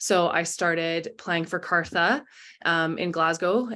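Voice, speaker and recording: The speaker is a woman. Her tone comes across bright and sharp. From Canada. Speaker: rugby player. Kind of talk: interview. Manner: casual, many fillers.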